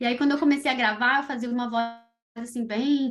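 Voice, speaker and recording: A woman's fairly high pitch and fairly even intonation come through over music in the background. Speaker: children's podcaster. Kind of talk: interview. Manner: fast.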